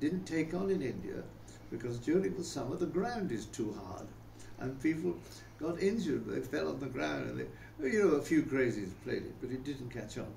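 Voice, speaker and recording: At a moderate pace, the speaker with a British accent swings very widely in pitch, over noticeable background noise and audible room echo. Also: man, medium pitch for a man. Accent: older English (British). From England, Rugby (English Midlands). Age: 90s. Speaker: interviewee recounting life story. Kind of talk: casual interview, life reminiscence. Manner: hesitant, with many fillers and repetitions.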